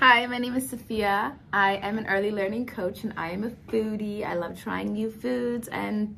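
With hardly any pauses, a woman talks at a moderate pace. Her pitch varies in an ordinary way, and there is light background noise. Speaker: early learning coach. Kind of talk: casual self-introduction. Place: office. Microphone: phone near.

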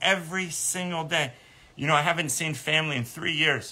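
A bright, sharp tone comes through in this man's speech. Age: 30s. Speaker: animal sanctuary nonprofit founder. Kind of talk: livestream monologue. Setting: live stream video. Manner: halting, many repeated words; emotional, earnest. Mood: earnest, emotional update. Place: garden. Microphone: phone near.

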